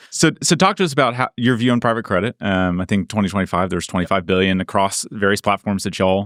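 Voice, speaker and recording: In a very clean, silent-background recording that sounds dry and close with no echo, a man speaks very fast at a fairly low pitch with ordinary pitch variation. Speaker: interviewer. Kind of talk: business news interview.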